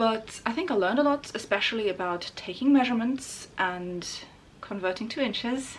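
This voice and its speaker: A woman with a non-native accent speaks with lively intonation. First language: not English. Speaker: sewing YouTuber. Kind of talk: vlog narration. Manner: casual with fillers.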